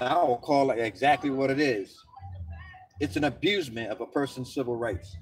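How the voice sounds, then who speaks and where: Lively intonation at a fairly quick pace, with noticeable background noise. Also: man, medium pitch for a man. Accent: American. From Philadelphia, US. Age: 60s. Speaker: vlogger. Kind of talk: rant. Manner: animated.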